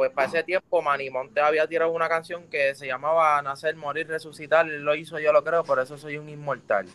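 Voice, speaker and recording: A man's fairly high voice at a very fast pace, hardly any pauses, fairly even intonation, in a dry, close sound with no echo. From Puerto Rico, Juncos. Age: 20s. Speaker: urban music artist. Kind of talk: casual interview chat.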